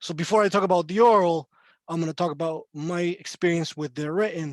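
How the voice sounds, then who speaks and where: High-pitched, a man talks at a fairly quick pace with fairly even intonation. The sound is dry and close, with no echo. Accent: Spanish. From Chile. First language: Spanish. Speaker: court interpreter. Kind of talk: panel talk on video call.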